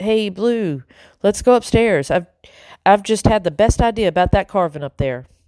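This is a put-on character voice that sounds strained. It moves at a moderate pace with lively intonation. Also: woman, medium pitch for a woman.

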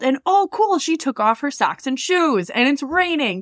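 A woman's high voice swings very widely in pitch, with a dry, close sound and no echo. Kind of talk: casual comedic chat. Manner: joking, self-deprecating.

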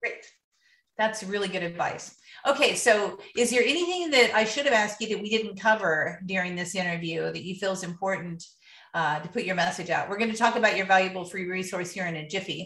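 Speaking at a fairly quick pace, a woman uses a plain, everyday voice of medium pitch with ordinary pitch variation. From US Midwest (Ohio). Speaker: podcast host, professional organizer. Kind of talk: interview.

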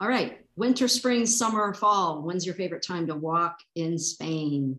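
Lively in intonation, a woman with an unremarkable speaking voice talks at a moderate pace and fairly low pitch. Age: 50s. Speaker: podcast host. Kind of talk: casual interview.

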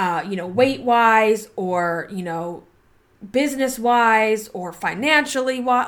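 On a very clean recording with a silent background, a woman uses an ordinary speaking voice, pitched fairly high, with lively intonation. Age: 40s. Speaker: podcast host and body image coach. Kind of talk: casual solo podcast monologue. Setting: home recording with laptop, poor audio. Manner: conversational, filler-heavy.

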